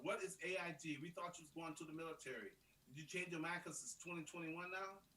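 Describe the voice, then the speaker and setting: The voice is raised and projected, bright and sharp in tone, moving at a fairly quick pace. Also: man. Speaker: live stream co-host, coach. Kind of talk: casual chat. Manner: animated; fast.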